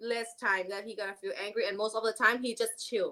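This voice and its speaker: Loud and bright with a sharp tone, a woman talks at a moderate pace with a fairly high pitch. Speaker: podcast guest. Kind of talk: casual chat.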